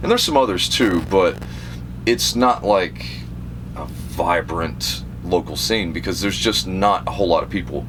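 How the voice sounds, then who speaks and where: Speaking at a fairly slow pace, a man with an American accent uses lively intonation. Background noise is noticeable. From South Carolina, upstate. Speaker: death metal guitarist and vocalist. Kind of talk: casual interview. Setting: on tour bus.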